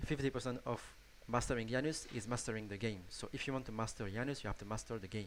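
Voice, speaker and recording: With a strong French accent, a man talks at a very fast pace and ordinary pitch variation. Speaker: gaming YouTuber. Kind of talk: tutorial. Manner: halting, many restarts and fillers.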